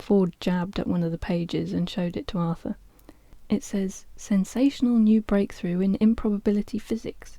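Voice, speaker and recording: In a very clean recording with a silent background, a soft-spoken woman talks at a moderate pace, her medium-pitched voice dark, mellow and somewhat breathy, with ordinary pitch variation. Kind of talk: audiobook reading.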